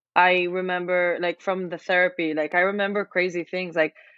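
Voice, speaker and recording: Speaking at a moderate pace, a woman uses a fairly low pitch and a monotone, flat intonation. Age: 20s. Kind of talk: casual chat.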